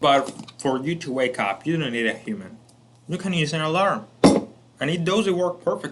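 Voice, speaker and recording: A man with a Spanish accent speaks at a moderate pace and a fairly high pitch, with lively intonation. Long, frequent pauses break up his speech over noticeable background noise. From Colombia. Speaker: self-improvement educator. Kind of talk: lecture.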